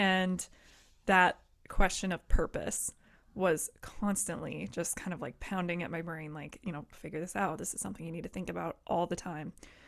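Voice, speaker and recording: Vocal fry runs through this voice with an American accent, and the intonation stays fairly even over a moderate pace. Loudness swings widely in a very clean recording with a silent background. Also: woman, fairly low pitch for a woman. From Colorado, Boulder. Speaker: podcast host, Navy veteran. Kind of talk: casual interview chat.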